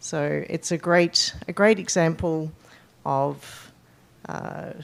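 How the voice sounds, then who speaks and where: A woman with an Australian accent. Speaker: conservation advisor. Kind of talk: conference presentation. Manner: hesitant, many fillers.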